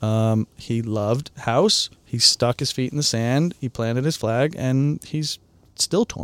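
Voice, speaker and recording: A man's plain, everyday voice with an American accent, fairly slow, with ordinary pitch variation, a dry, close sound with no echo, and a very clean recording with a silent background. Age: 40s. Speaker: DJ and producer. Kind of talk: casual chat. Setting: studio.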